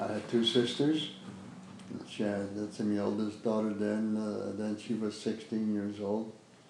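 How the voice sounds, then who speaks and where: Over noticeable background noise and audible room echo, a speaker with a Chicago accent talks at a fairly slow pace with fairly even intonation. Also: man, fairly low pitch for a man. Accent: Chicago American English. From US Midwest, Chicago west side. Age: 90s. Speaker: war veteran. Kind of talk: oral history interview. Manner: halting.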